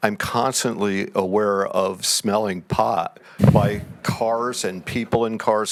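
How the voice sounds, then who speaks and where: Over noticeable background noise, a man with an American accent speaks at a very slow pace and a fairly low pitch, his intonation fairly even. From Connecticut, Cos Cob. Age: 70s. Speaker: audience member asking a question. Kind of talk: public question at town hall. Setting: town hall meeting with audience.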